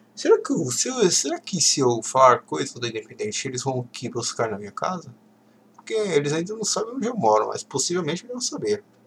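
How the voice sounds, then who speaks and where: A high-pitched man at a fairly quick pace, with very wide pitch swings, big swings in loudness, and noticeable background noise. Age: 20s. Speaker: football podcast host. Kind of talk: solo casual commentary reading tweets. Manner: halting.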